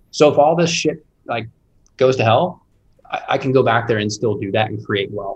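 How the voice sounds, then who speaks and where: A man with an American accent speaks at a fairly quick pace. His voice is somewhat breathy, with ordinary pitch variation. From Indianapolis, US Midwest. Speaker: real estate investor. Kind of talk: casual interview.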